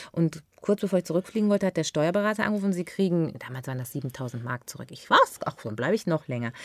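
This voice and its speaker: The voice swings very widely in pitch and moves at a very fast pace. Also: woman, fairly low pitch for a woman, big swings in loudness, dry, close sound with no echo. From Ruhr area, Germany (Unna near Dortmund), then Westerwald from age 15. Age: 40s. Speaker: actress and TV shopping presenter. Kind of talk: casual chat.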